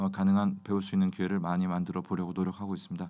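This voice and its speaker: A man talks at a very fast pace with a fairly low pitch. His intonation is fairly even, and the background is quiet. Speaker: ophthalmologist, glaucoma specialist. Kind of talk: educational review talk. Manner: hesitant, many fillers.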